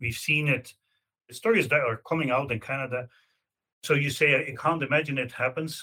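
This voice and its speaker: This man speaks with a Belgian accent at a fairly quick pace, his fairly high pitch showing ordinary variation. His tone is bright and sharp, broken by long, frequent pauses. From Belgium. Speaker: law professor. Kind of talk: interview.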